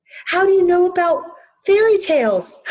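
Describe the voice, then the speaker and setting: A woman's squeaky put-on character voice, extremely high in pitch, at a moderate pace. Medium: read story.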